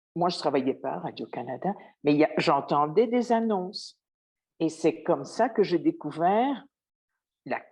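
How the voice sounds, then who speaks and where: At a fairly slow pace with long, frequent pauses, a woman speaks with lively intonation in a fairly low pitch. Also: quiet background. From Belgium. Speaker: former radio journalist, interviewee. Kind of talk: interview. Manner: hesitant, with repetitions.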